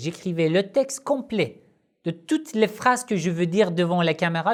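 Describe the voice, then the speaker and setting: Someone talks at a very slow pace on a very clean recording with a silent background. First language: not French (speaking French). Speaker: Shia Islamic religious teacher, YouTuber. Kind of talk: Q&A video monologue. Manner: halting, frequent hesitations.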